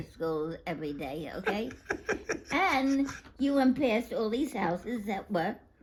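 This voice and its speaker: A woman's fairly high voice with very wide pitch swings, over noticeable background noise. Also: fairly slow pace. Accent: American. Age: 80s+. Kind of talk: interview answer. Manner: chatty.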